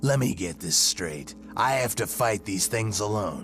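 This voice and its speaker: A man's fairly low put-on character voice at a moderate pace, with clear background noise. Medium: comedy sketch. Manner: curt, sarcastic.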